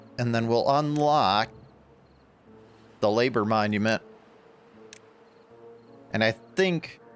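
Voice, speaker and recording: Music plays behind a man who talks at a very slow pace, leaving long, frequent pauses. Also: medium pitch for a man, ordinary pitch variation. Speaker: gaming YouTuber. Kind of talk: casual let's play commentary.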